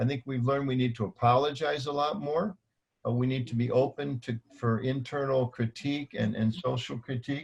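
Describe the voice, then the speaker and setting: A man speaks at a fairly quick pace with fairly even intonation. His medium-pitched voice is somewhat breathy. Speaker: panelist, religious community manager. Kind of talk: panel discussion. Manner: fast.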